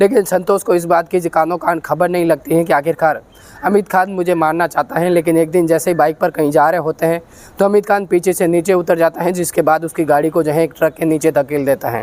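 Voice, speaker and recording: A man talks at a moderate pace in a high voice, with fairly even intonation, very even loudness and a dry, close sound with no echo. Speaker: true crime storyteller. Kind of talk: true crime narration.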